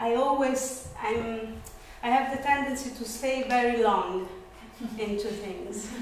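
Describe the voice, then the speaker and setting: Over light background noise and audible room echo, a woman speaks very slowly at a high pitch with ordinary pitch variation. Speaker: lecturer, dance teacher. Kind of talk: lecture. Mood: relaxed, reflective. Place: classroom. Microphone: camera far.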